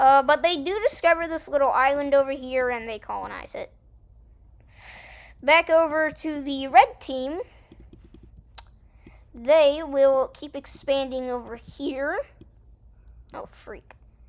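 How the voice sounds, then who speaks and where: Delivery runs at a fairly slow pace with long, frequent pauses and ordinary pitch variation. Loudness swings widely. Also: woman, high pitch for a woman. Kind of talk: unscripted map-game commentary. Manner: casual, rambling.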